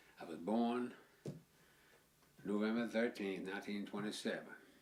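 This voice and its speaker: Against audible room echo, a man's fairly low voice keeps fairly even intonation. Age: 80s+. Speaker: interviewee, family member. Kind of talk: interview.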